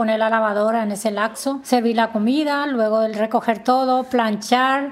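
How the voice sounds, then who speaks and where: A woman with a fairly high pitch speaks fairly slowly in a flat monotone, with noticeable background noise behind her. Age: 50s. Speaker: domestic worker. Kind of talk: personal testimony interview. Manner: halting.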